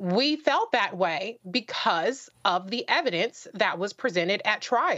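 A woman with an American accent talks at a fairly slow pace. Her pitch swings very widely. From Los Angeles. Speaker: radio host and panelist; radio host, panelist. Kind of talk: panel discussion. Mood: earnest, argumentative. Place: home room. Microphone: video call.

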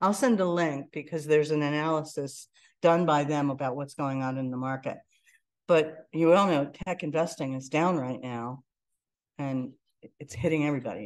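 A woman's very deep, low voice with an American accent, at a moderate pace with ordinary pitch variation and big swings in loudness, against a quiet background. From Pittsburgh, US. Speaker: entrepreneur; presenter. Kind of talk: lecture. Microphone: video call.

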